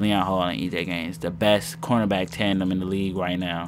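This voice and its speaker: With music in the background, a man talks at a fairly quick pace in a very deep, low pitch with lively intonation. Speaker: gaming YouTuber. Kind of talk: gameplay commentary.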